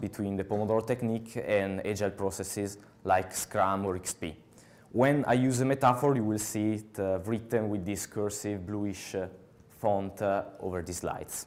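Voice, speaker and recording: A man's fairly low-pitched voice with fairly even intonation and a strong Italian accent. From Italy. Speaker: software developer, conference speaker. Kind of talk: conference talk. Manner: halting, many filler sounds.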